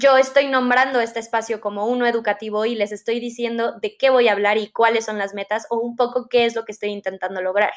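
A woman's fairly high, monotone, flat voice at a very fast pace. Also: hardly any pauses. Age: 20s. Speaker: podcast host, psychology student. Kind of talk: casual solo podcast monologue.

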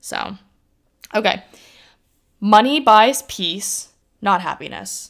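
A woman speaks at a very slow pace with long, frequent pauses, her medium pitch showing ordinary variation and vocal fry, on a very clean recording with a silent background. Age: 20s. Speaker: podcast host. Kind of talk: solo casual monologue. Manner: casual, filler-heavy (like).

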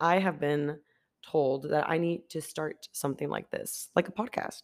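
With a very deep, low pitch, a woman speaks in an animated tone. Her pace is fairly slow, and her pitch variation is ordinary. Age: 20s. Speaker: podcaster. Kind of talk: casual solo podcast monologue. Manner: animated, talkative, chatty.

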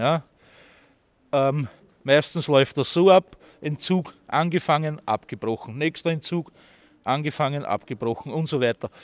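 On a very clean recording with a silent background, a man with a fairly high pitch talks at a fairly slow pace with ordinary pitch variation and long, frequent pauses, the sound dry and close with no echo. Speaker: homeless city tour guide. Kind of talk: guided walking tour talk.

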